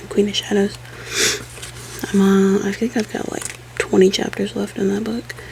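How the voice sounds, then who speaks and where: Noticeable background noise runs beneath a woman who is soft-spoken and keeps a moderate pace. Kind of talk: ASMR soft-spoken casual talk to camera. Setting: home office.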